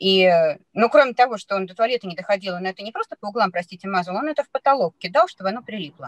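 A woman talks very fast with lively intonation and big swings in loudness, in a dry sound with no echo against a quiet background. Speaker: parent sharing experience. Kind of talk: testimonial in online seminar conversation. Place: car. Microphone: video call.

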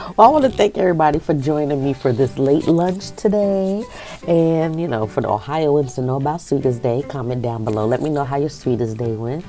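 Faint music plays in the background as a woman with a very deep, low pitch talks at a fairly quick pace. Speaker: food vlogger. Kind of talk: casual vlog chat. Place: home room. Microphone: earbuds.

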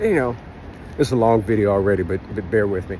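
A man speaks at a moderate pace with a fairly low pitch. Noticeable background noise is present. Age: 30s. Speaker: YouTuber and English teacher. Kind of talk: casual vlog monologue. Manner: halting, with many fillers and repeats.

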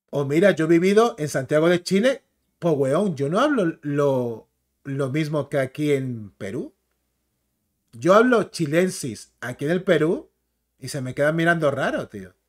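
A man with a fairly high pitch talks fairly slowly in an animated tone with lively intonation against a quiet background. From Canary Islands, Spain. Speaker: YouTuber, comics and film commentator; YouTuber, comics, film commentator. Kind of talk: casual commentary video; casual live-stream commentary. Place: home room.

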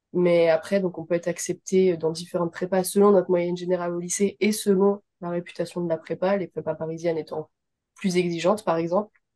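A woman speaks fairly quickly in a dark, mellow tone with a fairly low pitch and monotone, flat intonation. The background is quiet. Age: 20s. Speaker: veterinary student. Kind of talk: testimony. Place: home room. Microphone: video call.

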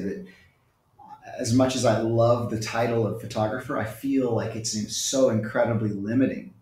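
A man talks at a moderate pace, and the room echo is audible. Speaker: remote guest. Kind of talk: interview answer. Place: home room. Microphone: earbuds.

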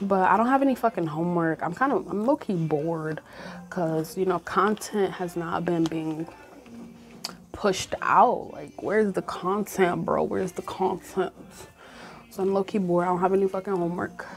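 A woman with an American accent talks at a moderate pace and ordinary pitch variation over music in the background. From Michigan. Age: young. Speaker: university freshman. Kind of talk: casual vlog talk to camera. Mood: stressed, bored, venting. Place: home room. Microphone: lapel.

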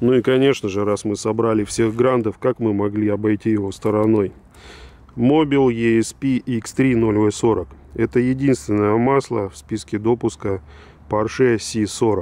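Speaking fairly slowly, a man uses a medium pitch, ordinary pitch variation and a dark, mellow tone. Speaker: oil expert presenting samples. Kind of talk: casual product walkthrough. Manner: conversational, informal.

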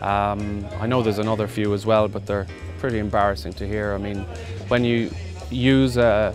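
With clear music in the background, a man talks at a fairly quick pace with ordinary pitch variation in a dry sound with no echo. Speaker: auctioneer. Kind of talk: interview answer. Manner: conversational, reflective. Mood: relaxed, slightly amused. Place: open country.

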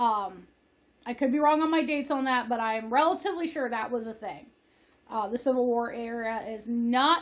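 A woman's high-pitched voice at a fairly quick pace with ordinary pitch variation. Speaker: video host. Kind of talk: casual vlog chat, film plot summary. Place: home room. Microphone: webcam.

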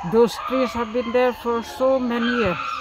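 Over noticeable background noise, a man speaks at an extremely high pitch. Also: dry sound with no echo. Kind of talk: interview answer. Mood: sad, concerned. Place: street.

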